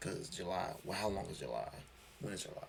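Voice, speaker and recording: With noticeable background noise present, this man speaks fairly quickly in an American accent. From Chicago. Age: 20s. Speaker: streamer and former wrestler. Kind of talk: casual live stream chat. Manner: halting, many repeated words.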